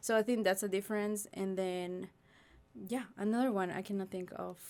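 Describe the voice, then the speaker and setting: Speaking with a Spanish accent at a moderate pace, the voice stays monotone and flat. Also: woman, medium pitch for a woman. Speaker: graduate teaching assistant. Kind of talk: podcast interview.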